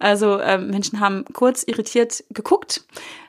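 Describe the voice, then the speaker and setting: Heard here is a woman with a plain, everyday voice, talking at a fairly slow pace. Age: 40s. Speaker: podcast host, success coach. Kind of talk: solo podcast monologue. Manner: casual, many filler sounds.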